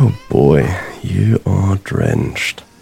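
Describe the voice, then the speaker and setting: A man's voice with very wide pitch swings, amid noticeable background noise. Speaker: actor playing a detective. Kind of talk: noir detective narration, brooding confessional monologue to a cat. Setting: home, rainy night, talking to a pet cat. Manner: rueful, wistful, grief-heavy.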